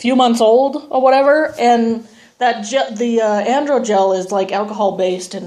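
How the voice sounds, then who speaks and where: Fairly high female speech with ordinary variation in pitch. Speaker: transgender vlogger. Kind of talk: video diary. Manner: casual, hesitant with many ums.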